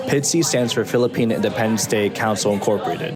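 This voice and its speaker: A man speaks at a very fast pace and medium pitch while music plays in the background. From Queens, New York, Filipino American. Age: 20s. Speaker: vlogger. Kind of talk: casual talk to camera.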